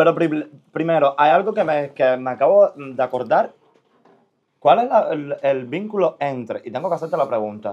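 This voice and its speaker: This man has a fairly high pitch and lively intonation. He speaks at a moderate pace. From Cuba. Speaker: podcast host. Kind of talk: casual interview. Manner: animated. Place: studio.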